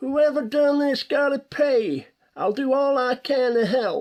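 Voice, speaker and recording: This put-on character voice sits at a high pitch and moves at a fairly slow pace. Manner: grim.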